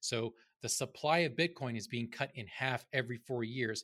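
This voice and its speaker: In a very clean recording with a silent background, an ordinary speaking voice with an American accent shows ordinary pitch variation. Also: man. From North Carolina. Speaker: screenwriter and crypto commentator. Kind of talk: casual chat.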